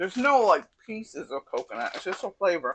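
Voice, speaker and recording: A woman with an American accent talks at a moderate pace in a dry, close sound with no echo. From US Northeast (Connecticut). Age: 60s. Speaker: cooking channel host. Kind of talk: casual cooking tutorial.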